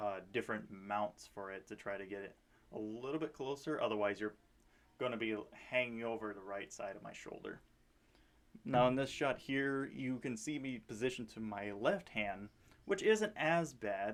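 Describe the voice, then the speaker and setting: A man speaks at medium pitch and a moderate pace, with ordinary pitch variation. His loudness swings widely. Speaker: airsoft player vlogger. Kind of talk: casual video commentary. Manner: halting, many fillers. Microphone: action camera on helmet, poor audio.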